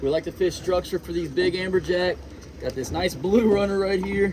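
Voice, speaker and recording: A man is speaking, with noticeable background noise behind him. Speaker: fishing guide or angler. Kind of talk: casual vlog chat and tutorial. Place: boat. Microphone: phone near.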